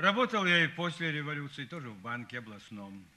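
This man has a bright, sharp tone and lively intonation. He speaks at a moderate pace. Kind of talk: dramatic film dialogue. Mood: wry, philosophical, world-weary.

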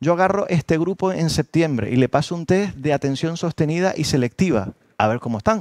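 In a quiet, dry setting with no echo, a man speaks in an animated tone with a fairly high pitch and ordinary pitch variation. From Canary Islands. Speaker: university professor and musicologist; university professor. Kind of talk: lecture workshop. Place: hall. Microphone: headset.

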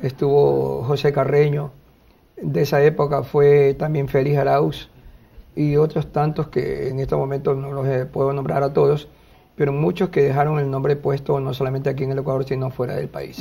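The man's intonation stays flat and monotone. He keeps a moderate pace. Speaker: TV interviewee. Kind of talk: interview answer. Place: studio. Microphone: lapel.

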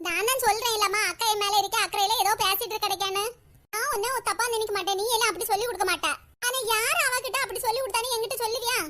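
In a cartoonish character voice pitched extremely high, a woman talks at a fairly quick pace with fairly even intonation. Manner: gentle, motherly.

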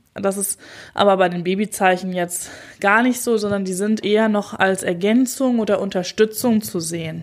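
A woman with a normal speaking voice, medium in pitch, with fairly even intonation at a moderate pace. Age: 30s. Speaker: doula and birth psychologist, podcast host. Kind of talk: solo podcast monologue. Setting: standing while recording. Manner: casual, conversational.

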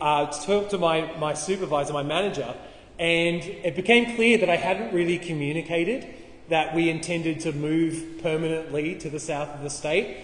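Audible room echo surrounds a man with an Australian accent who speaks at a fairly high pitch and moderate pace. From Tasmania, Australia (Launceston); Tasmania, Australia. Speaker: pastor. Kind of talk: sermon. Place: hall. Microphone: camera far.

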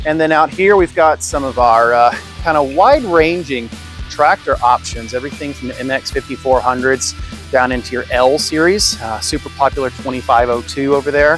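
In a dry sound with no echo, a man talks at a fairly quick pace over faint background music. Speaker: presenter. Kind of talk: casual walkthrough tour. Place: street. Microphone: phone near.

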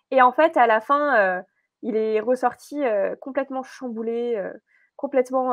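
Against a quiet background, a woman speaks fairly slowly in a high voice with ordinary pitch variation, the sound dry with no echo. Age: 20s. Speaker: entrepreneur and emotional wellness coach; emotional wellness coach. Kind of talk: podcast interview. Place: office.

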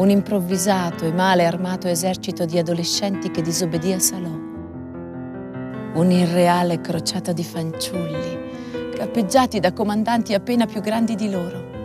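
Music sounds in the background. Over it, a woman talks at a moderate pace. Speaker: stage actress. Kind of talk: documentary voice-over narration.

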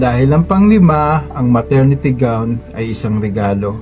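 With music in the background, a man talks at a fairly slow pace, his pitch swinging very widely. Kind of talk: spoken word poetry reading. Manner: earnest, advisory.

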